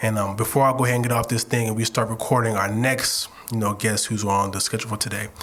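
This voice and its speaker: A man at medium pitch, very fast and monotone, flat, with hardly any pauses and noticeable background noise. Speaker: podcast co-host. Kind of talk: message to listeners. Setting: studio. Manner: fast, stumbling over words.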